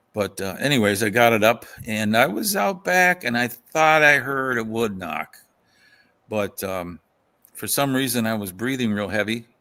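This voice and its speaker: A man with a western Pennsylvania accent, a bright, sharp tone and lively intonation at a moderate pace. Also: medium pitch for a man. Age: 60s. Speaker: folklorist. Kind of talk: casual chat.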